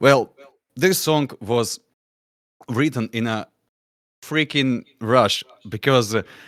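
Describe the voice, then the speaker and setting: A man's medium-pitched voice with a non-native accent, very slow in pace, dry and close with no echo. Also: very clean recording, silent background. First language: not English. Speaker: musician, band songwriter. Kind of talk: panel discussion. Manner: halting, many fillers.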